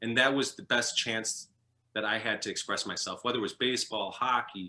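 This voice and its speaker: A man's medium-pitched, bright, sharp voice in a Chicago accent, with fairly even intonation and a fairly quick pace. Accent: Chicago American English. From US Midwest, Chicago. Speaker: former professional hockey goalie. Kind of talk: interview. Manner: halting.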